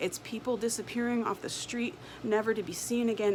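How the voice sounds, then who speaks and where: A woman speaks over noticeable background noise. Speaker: homesteader. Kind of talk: spoken word poetry. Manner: impassioned.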